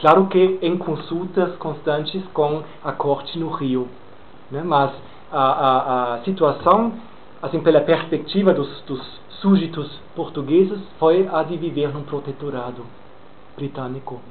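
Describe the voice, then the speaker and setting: A man speaks in a fairly high pitch at a fairly slow pace, leaving long, frequent pauses. Audible room echo surrounds his voice. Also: ordinary pitch variation. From Brazil, Minas Gerais. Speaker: lecturer. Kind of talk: lecture Q&A. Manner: deliberately slowed pace; hesitant, many fillers.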